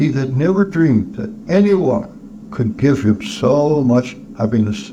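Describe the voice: It is plain reading aloud with lively intonation.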